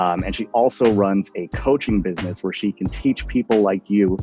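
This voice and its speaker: A man's very deep, low voice at a fairly quick pace, with ordinary pitch variation and music in the background. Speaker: interview host. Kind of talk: interview questions.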